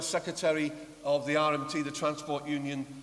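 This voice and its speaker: Moderate-paced speech from a man with a fairly high pitch, over noticeable background noise. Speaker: political rally chair and speaker, trade unionist and socialist coalition chair. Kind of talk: political rally speech.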